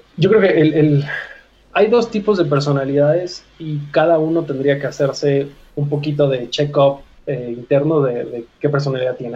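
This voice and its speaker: Here a man speaks slowly-ish, at a fairly slow pace, in a fairly high, somewhat breathy, dark, mellow voice with ordinary pitch variation. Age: 30s. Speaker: fitness coach. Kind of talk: interview conversation.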